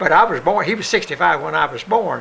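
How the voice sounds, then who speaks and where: A man in an Appalachian accent at a fairly quick pace, with noticeable background noise. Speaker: son of a Confederate veteran. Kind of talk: interview answer, reminiscing.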